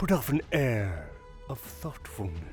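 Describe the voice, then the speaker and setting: Over clear background music, a man performs a breathy, put-on character voice in a dramatic tone. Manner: slow, drawn-out, dramatic pauses.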